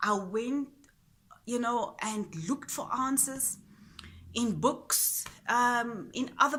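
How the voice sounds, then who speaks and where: Speaking at a very slow pace, a woman uses a high pitch with ordinary pitch variation. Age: 40s. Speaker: spiritual vlogger. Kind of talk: personal reflection monologue. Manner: halting.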